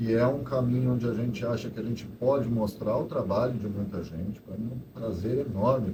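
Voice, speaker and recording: At a fairly quick pace, a man with a fairly low pitch talks amid audible room echo. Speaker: photo club organizer. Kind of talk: casual talk to live audience. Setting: event hall with audience. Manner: halting.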